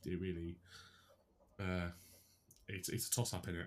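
A man with a British accent, very deep, low pitch and monotone, flat intonation at a fairly quick pace. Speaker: sports podcast co-host. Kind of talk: casual banter.

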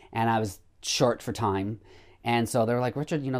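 Recorded very cleanly against a silent background, a man with an unremarkable speaking voice and a medium pitch talks at a fairly quick pace. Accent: American. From rural northwestern Illinois. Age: 50s. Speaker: vintage clothing shop owner. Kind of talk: casual interview.

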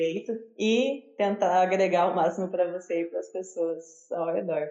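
A woman's fairly low voice comes through at a moderate speed, with noticeable background noise behind it. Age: 20s. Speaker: university student researcher. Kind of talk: interview.

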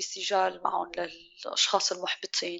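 A woman talks with vocal fry. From Syria. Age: 30s. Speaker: chef and restaurant owner. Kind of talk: interview conversation.

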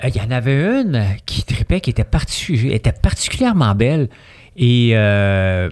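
In a normal speaking voice, a man with a medium pitch speaks at a fairly slow pace with lively intonation, the sound dry and close with no echo. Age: 50s. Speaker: entrepreneur. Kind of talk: casual chat.

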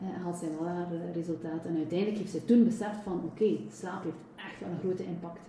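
Amid noticeable background noise and audible room echo, a woman talks at a very fast pace in a fairly low pitch with ordinary pitch variation. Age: 40s. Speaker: personal trainer and nutrition coach. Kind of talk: interview.

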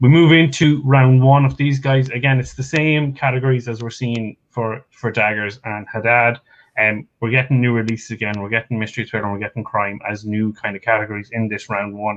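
The speech moves at a fairly quick pace with ordinary pitch variation and hardly any pauses. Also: man, medium pitch for a man. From Ireland. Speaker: stats pundit. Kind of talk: casual chat.

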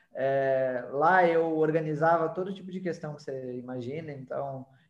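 A man with an ordinary speaking voice, fairly high in pitch, fairly slow, with fairly even intonation. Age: 30s. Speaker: digital marketing agency owner. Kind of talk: podcast interview.

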